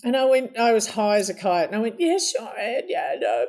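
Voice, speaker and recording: Speaking in an Australian accent at a moderate pace, a woman uses a high-pitched voice. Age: 70s. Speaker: interview guest. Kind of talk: casual interview storytelling.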